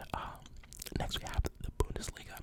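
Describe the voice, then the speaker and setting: Whispering can be heard through noticeable background noise. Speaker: ASMR creator. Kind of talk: ASMR football commentary, casual talk. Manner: whispered, soft-spoken.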